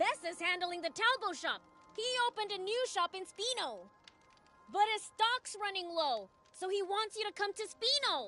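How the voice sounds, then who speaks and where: In a put-on character voice at a moderate pace, the speaker talks over faint music in the background. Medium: video game.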